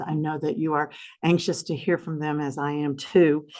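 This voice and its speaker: Against a quiet background, a woman with a very deep, low pitch speaks at a fairly quick pace. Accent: Southern US. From US South. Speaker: foundation representative hosting a symposium. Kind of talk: event opening remarks. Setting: conference room with audience, also streamed. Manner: gentle.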